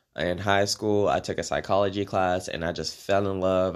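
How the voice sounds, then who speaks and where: Recorded very cleanly against a silent background, a man with an American accent speaks at a moderate pace and a fairly low pitch. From Maryland, US East Coast. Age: 20s. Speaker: podcaster. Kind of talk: casual monologue. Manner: hesitant, many fillers.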